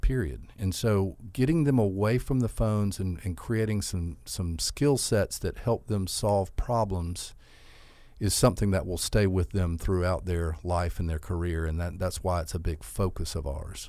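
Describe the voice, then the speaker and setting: On a very clean recording with a silent background, a man speaks with a Southern US accent at a moderate pace. His voice is very deep and low with a dark, mellow tone and ordinary pitch variation. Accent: Southern US (Georgia). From US South, Albany, Georgia. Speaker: school CEO. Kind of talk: interview.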